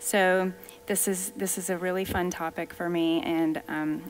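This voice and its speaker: Over light background noise, a woman speaks in a fairly low pitch. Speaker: functional medicine doctor. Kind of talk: lecture. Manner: friendly, enthusiastic. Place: church.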